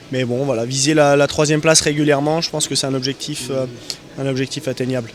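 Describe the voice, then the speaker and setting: Over noticeable background noise, a man speaks very fast in a flat monotone. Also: fairly high pitch for a man. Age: 20s. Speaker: motorcycle racer. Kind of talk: interview. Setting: motorcycle show stand. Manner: halting.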